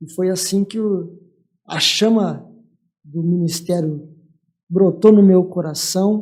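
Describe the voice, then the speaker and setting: A man with a high pitch talks at a very slow pace in a monotone with flat intonation, leaving long, frequent pauses and swinging widely in loudness. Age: 60s. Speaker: church leader, pastor. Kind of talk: testimony.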